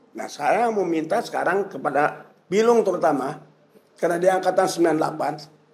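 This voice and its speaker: A man speaks in a high voice. His pace is moderate and his pitch varies in an ordinary way. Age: 70s. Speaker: senior journalist and activist. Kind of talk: political discussion. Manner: animated.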